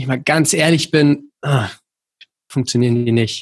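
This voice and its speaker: A man speaks with fairly even intonation, keeping a moderate speed. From Berlin, Germany. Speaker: rowing coach. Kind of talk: casual chat.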